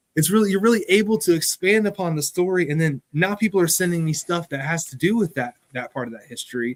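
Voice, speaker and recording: This speaker talks very fast with an American accent and lively intonation, hardly pausing, in a dry, close recording with no echo. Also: man, high pitch for a man. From US, West Virginia. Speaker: museum curator. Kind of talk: interview conversation.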